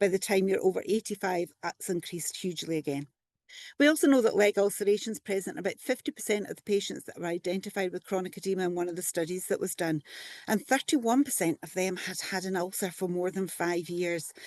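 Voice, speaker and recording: With a Scottish accent, a woman talks at a very fast pace, the sound dry and close with no echo over a quiet background. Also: medium pitch for a woman, ordinary pitch variation. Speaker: physiotherapist and lymphoedema specialist. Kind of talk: conference presentation.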